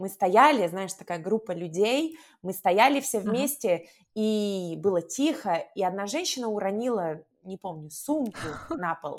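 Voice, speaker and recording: Lively in intonation, a woman with an unremarkable speaking voice talks at a fairly slow pace and a medium pitch. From Russia. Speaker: language teacher. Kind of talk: casual chat.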